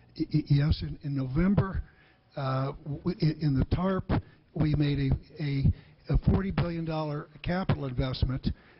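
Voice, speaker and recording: A man talks at a fairly slow pace in a somewhat breathy voice with fairly even intonation. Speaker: former Secretary of the Treasury and bank CEO. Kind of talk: congressional hearing testimony. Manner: stammering, hesitant.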